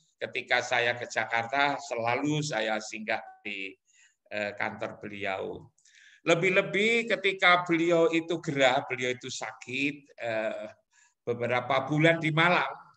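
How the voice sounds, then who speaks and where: A man talks at a fairly slow pace with a fairly high pitch and a bright, sharp tone. His pitch swings very widely. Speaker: professor. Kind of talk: webinar talk.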